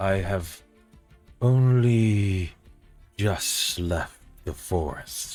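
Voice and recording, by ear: Using a put-on character voice at a fairly low pitch, a man talks at a very slow pace with long, frequent pauses as faint music plays in the background.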